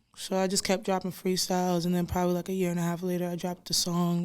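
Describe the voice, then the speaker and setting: Talking very fast, a woman speaks with an American accent. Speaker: rapper. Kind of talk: casual chat.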